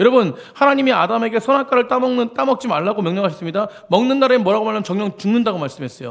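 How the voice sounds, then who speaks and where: Over noticeable background noise, a man with a high pitch talks at a very fast pace with lively intonation and hardly any pauses. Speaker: senior pastor. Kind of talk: sermon.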